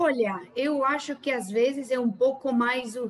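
In a Spanish accent, a woman talks at a very slow pace. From Argentina. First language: Spanish (speaking Portuguese). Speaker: real estate agent. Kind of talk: interview.

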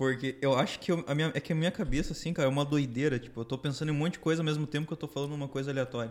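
A man talks at a very fast pace. His pitch is fairly high and his intonation fairly even. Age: 20s. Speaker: podcast guest. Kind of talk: casual chat.

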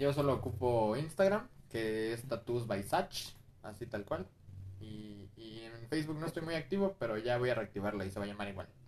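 A man's plain, everyday voice at a medium pitch, moderate pace and lively intonation. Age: 20s. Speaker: tattoo artist. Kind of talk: casual chat.

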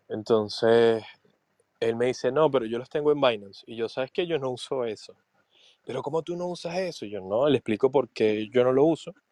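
A man speaks at a medium pitch with a dark, mellow tone and ordinary pitch variation. The sound is dry and close, with no echo. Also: fairly quick pace, quiet background. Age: 20s. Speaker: podcast co-host. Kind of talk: casual chat. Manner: halting.

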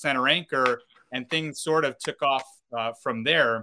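Speaking at a moderate pace with an upstate New York accent, a man has a medium pitch, a bright, sharp tone and ordinary pitch variation. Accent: upstate New York American. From upstate New York, North Syracuse. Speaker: minor league baseball play-by-play broadcaster. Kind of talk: casual interview. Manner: halting, many fillers.

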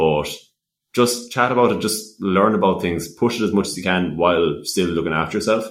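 A man with a Limerick accent talks at a fairly quick pace. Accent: Irish (Limerick). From Ireland, West Limerick. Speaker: young entrepreneur and student. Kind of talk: casual interview chat. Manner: talkative, many fillers.

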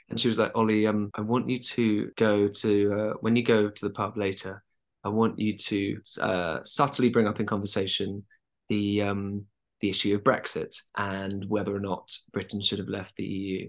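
Against a quiet background, a man in a southern English accent speaks at a moderate pace with a fairly low pitch and monotone, flat intonation. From London. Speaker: actor. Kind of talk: casual chat.

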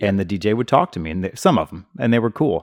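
A man's fairly low voice with a Midwestern accent. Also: dry, close sound with no echo. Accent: general Midwestern American. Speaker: podcast host. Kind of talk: casual interview.

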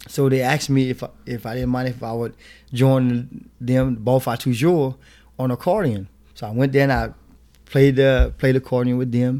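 With a Louisiana accent, a man speaks at a moderate pace and medium pitch in a dark, mellow tone with fairly even intonation, on a very clean recording with a silent background. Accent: Louisiana Creole English. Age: 40s. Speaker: zydeco musician. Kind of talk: interview.

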